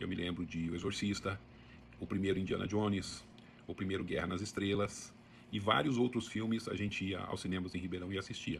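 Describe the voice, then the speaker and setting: A man speaks with a very deep, low pitch. His voice is somewhat breathy, with fairly even intonation. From Brazil, interior of São Paulo state (Sertãozinho). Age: 60s. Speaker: book channel host. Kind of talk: casual monologue. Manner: conversational, with some hesitations.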